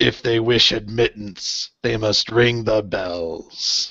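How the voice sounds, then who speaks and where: Delivered at a very slow pace, a gravelly, put-on character voice keeps a fairly even intonation. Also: man, medium pitch for a man. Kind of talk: archaic, formal.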